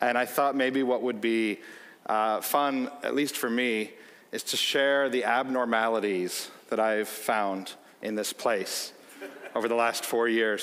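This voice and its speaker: Speaking at a fairly slow pace with a Chicago accent, a man shows ordinary pitch variation. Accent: American, Chicago. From US Midwest, Chicago. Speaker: company executive. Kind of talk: keynote speech with anecdotes. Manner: animated storytelling.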